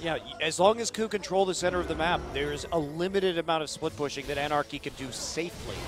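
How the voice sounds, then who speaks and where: A man's high-pitched voice at a very fast pace, with hardly any pauses, ordinary pitch variation and noticeable background noise. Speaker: esports commentator. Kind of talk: live esports colour commentary. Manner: animated, reactive exclamations mid-sentence.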